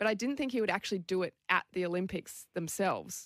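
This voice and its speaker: A woman with an Australian accent, vocal fry, and a fairly quick pace, on a very clean recording with a silent background. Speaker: Olympic rugby sevens player. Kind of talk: interview.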